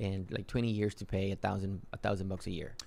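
Here a man is talking. He speaks with a Spanish accent. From Mexico (Yucatan, raised in Matamoros). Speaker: real estate investor. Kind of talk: interview.

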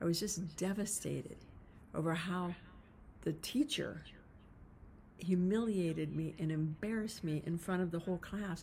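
Somewhat breathy, a woman with a fairly low pitch talks at a moderate pace with long, frequent pauses. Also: ordinary pitch variation. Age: 60s. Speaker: podcast host, leadership coach. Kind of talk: solo podcast monologue. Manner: casual, conversational with fillers.

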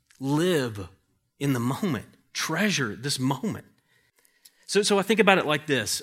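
On a very clean recording with a silent background, a man with a fairly high pitch speaks at a fairly slow pace, his pitch swinging very widely. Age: 40s. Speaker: pastor. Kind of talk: sermon. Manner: halting.

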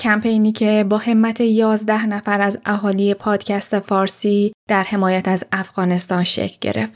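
A woman speaks fairly slowly at a fairly high pitch, with monotone, flat intonation. The recording is very clean, with a silent background. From Iran. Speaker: podcast host. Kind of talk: scripted narration.

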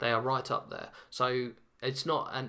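A man is speaking with a British accent. His tone is bright and sharp. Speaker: podcast host. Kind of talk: casual monologue. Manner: hesitant, many fillers.

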